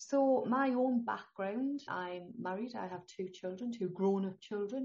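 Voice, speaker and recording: A woman with a northeast English accent speaks at a fairly slow pace in a medium-pitched, somewhat breathy voice with ordinary pitch variation. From northeast England. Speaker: holistic health consultant. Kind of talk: interview.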